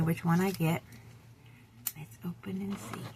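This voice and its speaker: A soft-spoken woman talks at a moderate pace. Her fairly low voice moves in very wide pitch swings. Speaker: vintage seller. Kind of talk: casual talk to camera. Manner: quiet.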